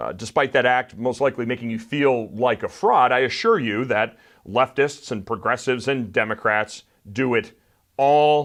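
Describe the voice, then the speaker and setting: Over a quiet background, a man with an unremarkable speaking voice talks at a fairly slow pace and medium pitch, his intonation fairly even. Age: 40s. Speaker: political commentary show host. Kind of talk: opinion commentary monologue.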